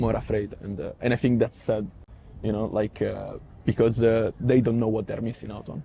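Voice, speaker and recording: In an Italian accent, the speaker uses a dark, mellow tone that is somewhat breathy, at a moderate pace with fairly even intonation. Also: man, medium pitch for a man. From Italy. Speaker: Italian media worker. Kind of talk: interview. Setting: parliament building. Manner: halting.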